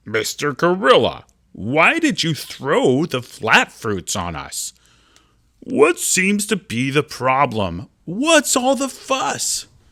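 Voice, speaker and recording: Someone talks in a put-on character voice at a very slow pace. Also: man, high pitch for a man. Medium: read story. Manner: polite, earnest.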